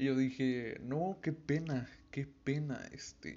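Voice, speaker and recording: A man talks with a medium pitch. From Veracruz, Mexico. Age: young. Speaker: podcast host. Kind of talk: casual monologue. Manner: halting, stumbling over words.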